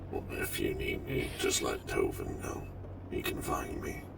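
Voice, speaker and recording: A man's put-on character voice, extremely high in pitch, at a moderate pace over loud background noise. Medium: game stream. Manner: formal, precise, slightly stilted.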